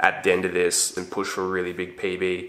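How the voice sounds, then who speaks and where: A man with a very deep, low pitch and a bright, sharp tone speaks at a fairly quick pace. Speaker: fitness vlogger. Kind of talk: casual vlog chat. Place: garage.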